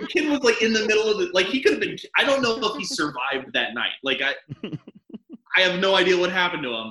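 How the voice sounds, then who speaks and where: Speaking very fast in a raised, projected voice, a man with a high pitch swings very widely up and down in pitch. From US South, rural Arkansas. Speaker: stand-up comedian. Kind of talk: casual chat.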